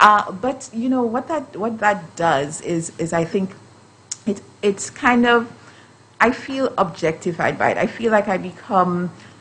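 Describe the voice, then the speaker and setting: Against noticeable background noise, a woman at a medium pitch speaks at a fairly slow pace with lively intonation. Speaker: justice system professional. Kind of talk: panel discussion. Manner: hesitant, many fillers and repeats.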